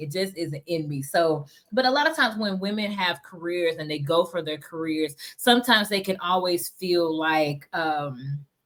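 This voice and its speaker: A woman talks at a moderate pace in a plain, everyday voice, fairly low in pitch with ordinary pitch variation. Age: 40s. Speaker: podcast host. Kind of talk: casual interview.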